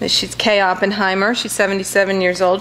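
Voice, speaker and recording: There is light background noise as a woman speaks at a moderate pace. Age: 50s. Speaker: associate professor, book reviewer. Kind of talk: book review talk to audience. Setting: library auditorium with live audience. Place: hall. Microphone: podium.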